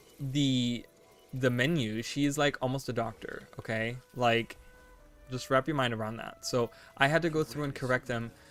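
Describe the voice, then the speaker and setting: Over music in the background, a man speaks at a moderate pace with a medium pitch and fairly even intonation. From Germany. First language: German. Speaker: video game streamer. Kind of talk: casual chat.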